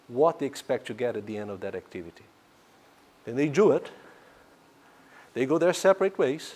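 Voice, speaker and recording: With a non-native accent, a man talks at a fairly quick pace, his fairly high pitch moving in very wide swings. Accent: foreign. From Brazil. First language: Portuguese. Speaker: economics professor. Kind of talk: lecture. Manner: hesitant, many fillers.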